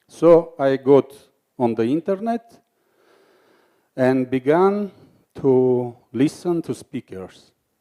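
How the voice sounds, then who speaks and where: A dark, mellow tone in an Armenian accent at a very slow pace, with lively intonation and a dry, close sound with no echo. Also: man. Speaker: filmmaker and speaker. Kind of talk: conference talk.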